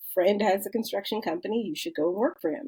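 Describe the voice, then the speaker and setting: Lively intonation marks this woman's speech. She has a medium pitch and a Chicago accent. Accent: Chicago American English. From US Midwest, south side of Chicago. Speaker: construction company founder. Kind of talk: podcast interview.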